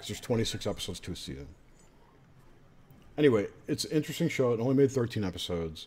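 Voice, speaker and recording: Vocal fry runs through a man's voice as he speaks at a very fast pace with very wide pitch swings. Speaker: podcast host. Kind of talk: casual chat. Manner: quiet, low talking. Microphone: too quiet, sitting far from the mic.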